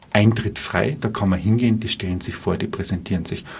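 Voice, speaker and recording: Amid noticeable background noise, a man talks in a fairly low voice. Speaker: bank advisor and amateur saxophonist. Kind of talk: live radio interview.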